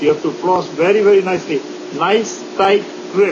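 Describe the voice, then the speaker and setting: A man's high voice over noticeable background noise. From India. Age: 60s. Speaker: dentist. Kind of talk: interview. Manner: halting.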